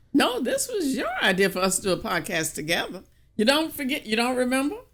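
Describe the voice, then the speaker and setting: Someone with an American accent talks at a fairly quick pace with very wide pitch swings, over noticeable background noise. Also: woman, high pitch for a woman. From US South, small country town. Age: 70s. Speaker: podcast co-host. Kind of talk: casual chat.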